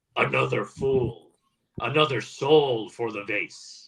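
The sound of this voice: A man's put-on character voice, hissing, at medium pitch and a fairly slow pace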